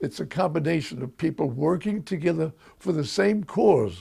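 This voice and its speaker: Here a man with a New York accent has a fairly high voice, a dark, mellow tone and some vocal fry. He speaks at a moderate pace. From Bronx, New York. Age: 80s+. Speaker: school board member, World War II veteran. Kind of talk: interview answer.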